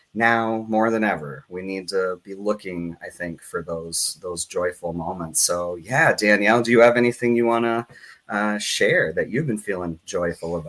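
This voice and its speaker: A man speaks in a plain, everyday voice, fairly low in pitch, at a moderate pace. His pitch varies in an ordinary way, with hardly any pauses. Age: 30s. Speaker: community organization director and show host. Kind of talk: live-streamed interview. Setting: live stream.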